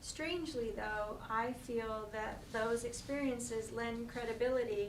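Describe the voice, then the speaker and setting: A woman with an American accent speaks at a fairly slow pace with a fairly high pitch and fairly even intonation, amid noticeable background noise and audible room echo. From Pennsylvania. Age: 50s. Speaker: near-death experiencer speaker. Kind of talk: reading aloud prepared talk. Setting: talk before an audience. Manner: halting.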